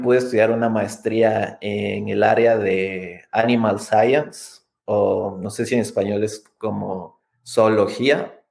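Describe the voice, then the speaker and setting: A man with a medium-pitched voice speaks at a very slow pace, keeping his intonation fairly even. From Ecuador. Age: 30s. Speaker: scientist and immigrant rights advocate. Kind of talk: interview.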